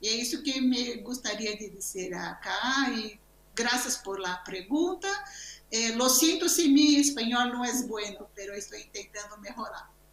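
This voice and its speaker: Amid audible room echo and noticeable background noise, a woman with a Brazilian accent speaks at a high pitch and a fairly slow pace, her intonation lively and her loudness swinging widely. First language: Portuguese (speaking Spanish). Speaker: museum researcher. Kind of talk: conference Q&A answer. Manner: halting, with repetitions.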